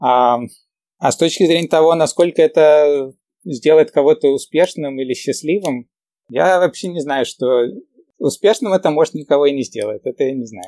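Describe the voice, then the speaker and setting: The sound is dry and close with no echo as a man speaks at a moderate pace, taking long, frequent pauses. His fairly high voice is dark and mellow in tone, with lively intonation. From Ukraine (Kyiv), moved to New York as a teen. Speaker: entrepreneur and math teacher. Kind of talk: casual interview chat. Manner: hesitant, many fillers.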